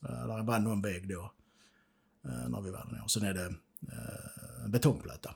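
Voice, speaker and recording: The voice swings very widely in pitch and carries vocal fry. It moves at a moderate pace with long, frequent pauses. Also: man, very deep, low pitch for a man. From southern Sweden, Skåne (Ängelholm). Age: 50s. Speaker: peacekeeping war veteran. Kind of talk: interview testimony. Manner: halting.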